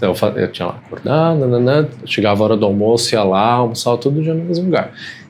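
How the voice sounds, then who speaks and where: A soft-spoken man talks at a very fast pace. His intonation is lively. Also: medium pitch for a man. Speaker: guest. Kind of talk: casual conversation. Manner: halting.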